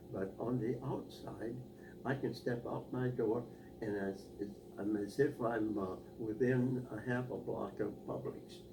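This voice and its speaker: A man with a fairly low voice talks very slowly against noticeable background noise. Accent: American. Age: 80s+. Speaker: war veteran. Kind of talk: interview answer. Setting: home interview.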